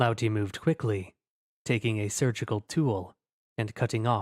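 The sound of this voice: With fairly even intonation, an unforced reading voice comes across over a quiet background.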